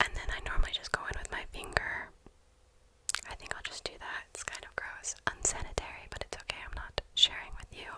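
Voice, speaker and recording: Noticeable background noise sits behind a whisper. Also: fairly quick pace. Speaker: ASMR artist. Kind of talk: ASMR casual ramble. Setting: close binaural microphone. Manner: whispered.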